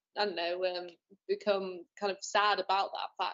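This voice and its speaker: This is a woman talking. She has a northern English accent. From northern England. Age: young. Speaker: young filmmaker. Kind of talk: online interview.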